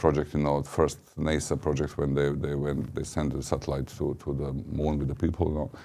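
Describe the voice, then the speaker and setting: A man with a Serbian accent speaks at a moderate pace. His tone is dark and mellow, his pitch very deep and low. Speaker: ambassador. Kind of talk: interview. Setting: studio.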